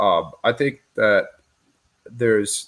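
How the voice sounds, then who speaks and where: A man talks in an unremarkable speaking voice. His pitch is medium, with ordinary pitch variation. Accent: American. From West Michigan. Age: 20s. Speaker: former wrestler and businessman. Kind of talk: casual interview.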